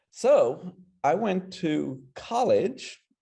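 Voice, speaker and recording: In a dark, mellow tone, a man talks with an American accent. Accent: American, English origin. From English Midlands (Kidderminster). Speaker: carpet designer. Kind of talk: interview.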